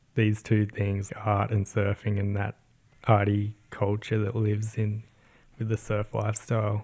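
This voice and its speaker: On a very clean recording with a silent background, a somewhat breathy voice with a dark, mellow tone speaks at a moderate pace in a monotone, flat intonation. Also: man. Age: 30s. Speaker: podcast co-host and surf brand designer. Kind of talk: casual chat.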